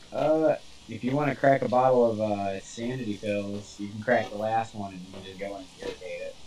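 Over noticeable background noise, a man at medium pitch speaks at a moderate pace with ordinary pitch variation and big swings in loudness. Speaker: gamer. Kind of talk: casual chat. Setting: voice chat while gaming online.

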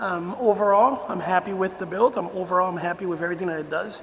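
The speech runs at a very fast pace over light background noise. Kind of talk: casual review commentary. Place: garage. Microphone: camera far.

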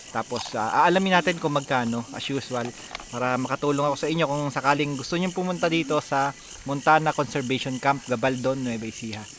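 Over noticeable background noise, a man talks at a fairly quick pace in a fairly high pitch, with ordinary pitch variation. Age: 40s. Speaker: travel vlogger. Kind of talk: vlog narration. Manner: animated.

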